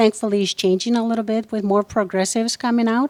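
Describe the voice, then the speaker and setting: A woman speaks at a medium pitch with fairly even intonation. The sound is dry and close, with no echo. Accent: Spanish. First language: Spanish. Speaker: entrepreneur and activist. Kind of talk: interview. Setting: on location.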